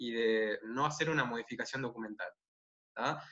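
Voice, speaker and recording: Speaking at a moderate pace, a man with a Uruguayan accent has a bright, sharp tone. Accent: Rioplatense Spanish (Uruguayan). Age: 20s. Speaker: interview guest, nonbinary intersex activist. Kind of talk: casual interview. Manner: halting with fillers.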